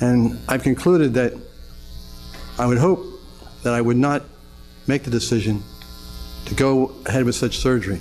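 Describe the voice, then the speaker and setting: There is noticeable background noise as a man speaks at a moderate pace, leaving long, frequent pauses. His medium pitch has ordinary variation. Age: 60s. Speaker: Parkinson's patient testifying at hearing. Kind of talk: public testimony. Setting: legislative committee hearing room. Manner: halting, with repeated words and stumbles.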